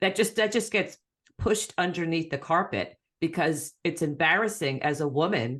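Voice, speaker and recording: Over a quiet background, a woman with a normal speaking voice talks at a moderate pace in a fairly low pitch, with lively intonation and very even loudness. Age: 60s. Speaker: podcast co-host. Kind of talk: casual chat.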